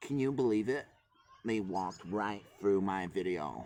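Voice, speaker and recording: In a put-on character voice with an American accent, a man speaks at a fairly low pitch and a moderate pace. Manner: indignant, complaining.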